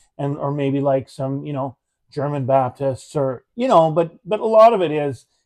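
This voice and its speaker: Dry and close with no echo, a man's dark, mellow voice sits at a fairly high pitch and moderate pace in a Canadian Prairie accent. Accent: Canadian English (Prairies). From Manitoba, Canada. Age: 50s. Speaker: talk show host. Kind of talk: casual chat. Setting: live stream from a theatre.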